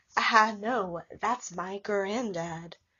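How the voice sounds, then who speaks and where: A woman puts on a raspy character voice at a medium pitch. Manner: creepy.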